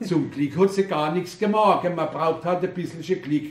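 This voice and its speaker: A man's high voice at a very slow pace. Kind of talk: poetry reading.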